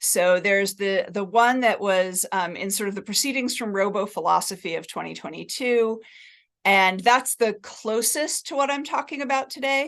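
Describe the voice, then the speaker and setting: A woman with an American accent speaks at a fairly high pitch with lively intonation. She has an unremarkable speaking voice, and the background is quiet. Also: moderate pace. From New Jersey, US. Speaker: cognitive science professor. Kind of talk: academic talk.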